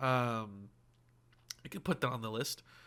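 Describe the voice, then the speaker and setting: A man with an American accent and a bright, sharp tone, at a moderate pace on a very clean recording with a silent background. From US, mixed northern and southern area. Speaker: gaming streamer. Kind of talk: live gameplay stream chat. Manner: casual, many filler words.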